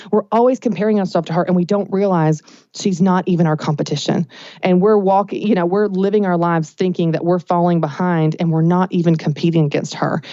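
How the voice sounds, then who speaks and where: The speaker has a Southern US accent and talks at a very fast pace. Loudness stays very even. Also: woman, fairly low pitch for a woman. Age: 30s. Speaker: business coach. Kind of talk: podcast interview. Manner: animated.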